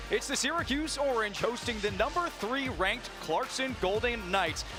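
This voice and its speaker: Over music in the background, a man in a raised, projected voice speaks at a moderate pace with an extremely high pitch and very wide pitch swings. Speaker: sports broadcaster. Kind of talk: broadcast open.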